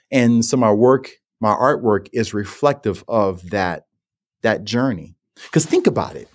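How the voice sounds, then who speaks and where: A man with a New Orleans accent at a fairly slow pace, ordinary pitch variation, on a very clean recording with a silent background. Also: medium pitch for a man. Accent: New Orleans American English. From New Orleans, US South. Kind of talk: interview conversation.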